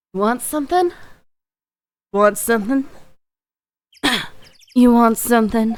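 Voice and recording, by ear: In a put-on character voice, a female-sounding speaker uses a husky, fairly high pitch at a moderate pace, with long, frequent pauses.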